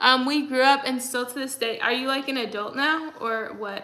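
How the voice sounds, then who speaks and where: A woman with an American accent speaks in a raised, projected voice at a high pitch and a moderate pace. There is noticeable background noise. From Texas. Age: 20s. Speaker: livestreamer. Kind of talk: casual chat. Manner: frequent fillers, like and um.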